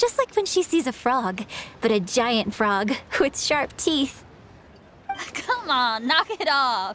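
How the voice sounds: A woman uses a put-on character voice, high-pitched with big pitch swings and a fairly bright tone. She speaks at a slow pace.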